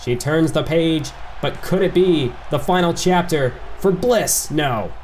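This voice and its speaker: A man's energetic, excited voice over noticeable background noise. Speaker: video game commentator and YouTuber. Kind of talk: live wrestling match commentary, fast-paced play-by-play.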